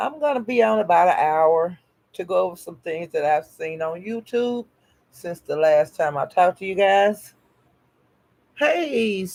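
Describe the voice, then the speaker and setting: A woman with a Southern US accent at a medium pitch, lively in intonation, fairly slow, with long, frequent pauses. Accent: Southern drawl. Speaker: live streamer greeting chat. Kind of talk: casual, colloquial.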